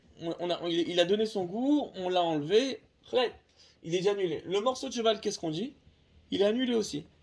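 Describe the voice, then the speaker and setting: A man talks at a fairly quick pace in a high voice, with lively intonation. His loudness swings widely from moment to moment. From Tunisia. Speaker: religious teacher. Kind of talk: lecture. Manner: halting, many repetitions.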